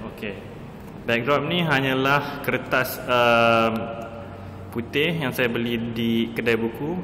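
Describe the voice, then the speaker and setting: Over noticeable background noise and audible room echo, a man with a medium pitch and fairly even intonation talks at a very slow pace with long, frequent pauses. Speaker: advertising photographer. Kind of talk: tutorial. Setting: photo studio. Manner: hesitant, many fillers.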